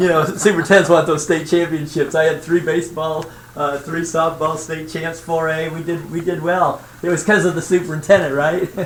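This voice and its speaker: With an American accent, a man with a fairly high pitch speaks flatly in a monotone at a fairly quick pace with hardly any pauses, amid noticeable background noise and audible room echo. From central Indiana. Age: 60s. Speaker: retired school superintendent and consultant. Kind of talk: self-introduction at a school board meeting. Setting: school board meeting. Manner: casual, with many fillers.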